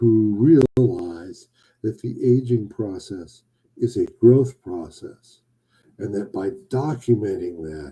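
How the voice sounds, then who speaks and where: A man's somewhat breathy voice at medium pitch, dark and mellow in tone, with lively intonation, big swings in loudness and a very slow pace. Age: 60s. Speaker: boudoir photographer hosting a weekly live show. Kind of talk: casual livestream monologue. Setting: live broadcast on social media. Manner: playful, jokey.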